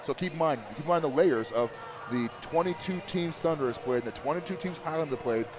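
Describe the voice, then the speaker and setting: A man with a fairly high pitch and ordinary pitch variation talks at a fairly quick pace, with noticeable background noise behind him. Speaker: high school sports broadcaster. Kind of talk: live commentary. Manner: fast.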